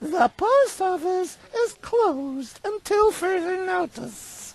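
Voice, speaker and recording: In a put-on character voice, a woman squeaks at an extremely high pitch, swinging her pitch very widely at a very slow pace. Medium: video game. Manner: snippy, bureaucratic.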